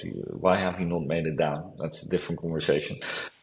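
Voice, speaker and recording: The speaker has a Dutch accent. The delivery comes at a fairly quick pace. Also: man. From Amsterdam, Netherlands. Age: 40s. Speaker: company founder. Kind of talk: interview. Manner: hesitant, many fillers.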